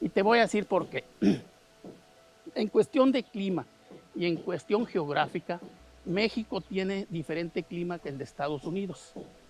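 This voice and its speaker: Music plays behind a man speaking in a high pitch at a moderate pace with lively intonation. He takes long, frequent pauses, and the sound is dry and close with no echo. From Mexicali, Baja California, Mexico. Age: 60s. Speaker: agronomist. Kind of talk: interview.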